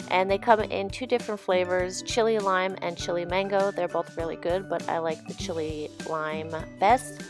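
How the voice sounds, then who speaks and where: A woman with a fairly low pitch talks at a moderate pace with hardly any pauses while music plays behind her. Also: ordinary pitch variation. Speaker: vegan food vlogger. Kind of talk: casual voiceover narration.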